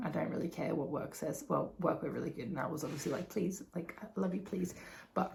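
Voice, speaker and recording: In an Australian accent, a woman talks in an animated tone. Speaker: vlogger. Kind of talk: casual vlog recap. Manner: animated, filler-heavy.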